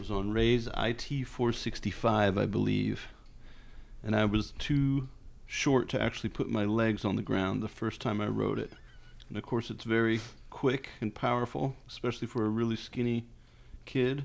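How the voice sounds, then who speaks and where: This man has an unremarkable speaking voice, medium in pitch, at a moderate pace with fairly even intonation. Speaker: grandson. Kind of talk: casual chat. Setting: at home.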